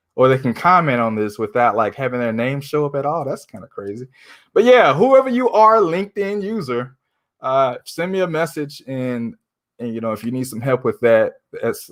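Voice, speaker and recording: Big swings in loudness from a man at medium pitch, lively intonation at a moderate pace. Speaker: livestreamer and former wireless store owner. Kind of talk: casual livestream monologue. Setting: live stream. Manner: says he ums and uhs a lot; tends to mumble, poor enunciation.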